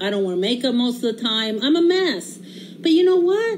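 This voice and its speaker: Over noticeable background noise and audible room echo, a woman speaks at a moderate pace with very wide pitch swings. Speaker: home cooking livestreamer. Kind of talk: casual livestream cooking chat. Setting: home kitchen livestream. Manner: animated.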